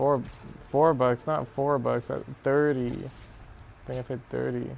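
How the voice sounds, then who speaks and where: A man mumbles at a fairly slow pace, his pitch sitting in the medium range. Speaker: gaming streamer. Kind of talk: casual chat. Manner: mumbling; halting.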